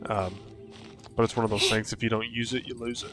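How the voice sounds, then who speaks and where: Over music in the background, a man with a slight Southern US accent speaks in a relaxed tone at medium pitch, his intonation fairly even. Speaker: gaming streamer. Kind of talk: live gameplay commentary. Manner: casual, relaxed.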